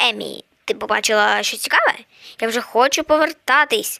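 A woman puts on a character voice at a fairly high pitch and a moderate pace. The recording is quiet, with hissing. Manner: impatient; hissed, hushed.

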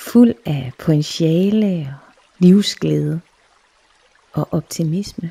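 A woman speaks very slowly at a fairly low pitch in a soothing, calm tone, with ordinary pitch variation and long, frequent pauses. The sound is dry and close, with no echo. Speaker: meditation guide / clairvoyant. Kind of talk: guided meditation. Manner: slow, soothing, calm.

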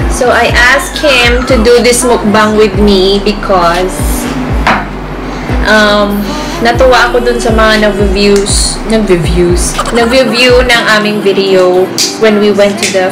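Music plays behind the speaker. She is a woman talking at a fairly slow pace. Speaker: family vlogger. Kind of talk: casual vlog chat. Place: home room. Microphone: phone near.

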